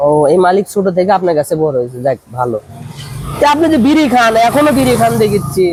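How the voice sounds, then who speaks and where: Noticeable background noise sits behind a man with a high-pitched voice. His pitch swings very widely while his loudness stays very even. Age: young. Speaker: vlogger. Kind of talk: street interview vlog.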